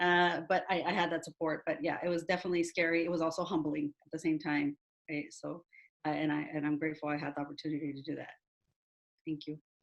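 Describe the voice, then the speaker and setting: In a Spanish accent, a woman talks at a very fast pace with a very deep, low pitch and monotone, flat intonation. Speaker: university staff member. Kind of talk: panel webinar talk. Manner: halting, many fillers.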